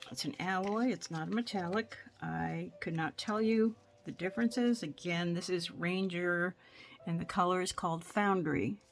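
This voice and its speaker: At a moderate pace, this soft-spoken speaker delivers the words. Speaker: craft tutorial creator. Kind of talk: tutorial. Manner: casual.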